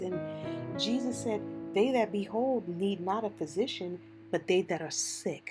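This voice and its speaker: Moderately paced female speech over music in the background. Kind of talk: casual devotional talk to camera.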